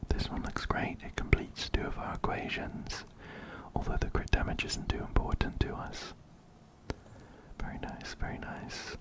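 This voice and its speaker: Amid noticeable background noise, a man whispers at a moderate pace. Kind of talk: ASMR gaming commentary. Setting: close binaural microphone. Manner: whispered.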